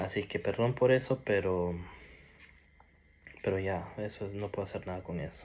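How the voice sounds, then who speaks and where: A man with a fairly low pitch and ordinary pitch variation, at a moderate pace. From Norway (Peruvian family). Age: 20s. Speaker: ex-Jehovah's Witness sharing his story. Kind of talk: personal testimony. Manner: halting, with many restarts and fillers.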